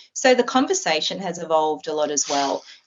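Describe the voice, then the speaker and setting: Moderate-paced speech from a woman with an Australian accent. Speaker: optometrist. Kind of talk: interview.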